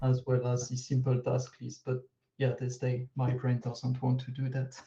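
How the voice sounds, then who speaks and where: In a French accent, a man speaks at medium pitch with a dark, mellow tone, somewhat breathy and monotone in intonation. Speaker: open source contributor. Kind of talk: video call workshop discussion. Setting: video call.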